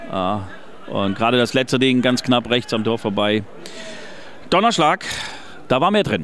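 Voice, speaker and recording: With lively intonation and long, frequent pauses, a man of medium pitch speaks at a moderate pace over noticeable background noise. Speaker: fan radio football commentator. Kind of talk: live commentary. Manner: animated.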